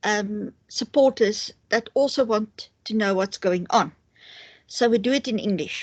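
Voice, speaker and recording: A woman with a South African accent and a fairly high pitch talks at a fairly slow pace with ordinary pitch variation, in a dry, close sound with no echo. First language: Afrikaans. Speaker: interviewer. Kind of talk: interview. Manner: hesitant, many fillers. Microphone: poor quality connection.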